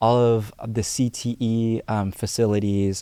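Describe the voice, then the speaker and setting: A man speaks in a flat monotone with a dark, mellow tone. The sound is dry and close with no echo, recorded very cleanly over a silent background. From US, Houston, Texas (Alief). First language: Cantonese. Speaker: youth civic organizer. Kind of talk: podcast interview. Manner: frequent filler hesitations.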